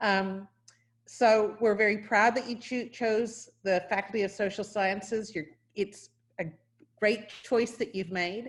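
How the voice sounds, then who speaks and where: With a slight New Zealand accent, the speaker goes at a fairly slow pace with fairly even intonation. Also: woman, fairly high pitch for a woman. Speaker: university professor or dean. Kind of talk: welcome address. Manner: hesitant, with restarts.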